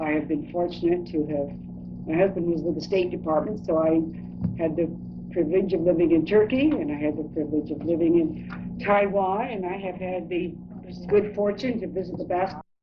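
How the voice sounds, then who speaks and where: A woman with an American accent speaks at a fairly low pitch. Noticeable background noise and audible room echo fill the recording. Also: ordinary pitch variation. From California. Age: 70s. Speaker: interviewee. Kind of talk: oral history interview.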